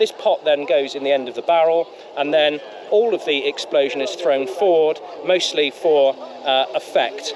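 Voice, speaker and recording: Noticeable background noise sits behind a man speaking at a high pitch with ordinary pitch variation. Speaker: tank museum presenter. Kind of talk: video presentation.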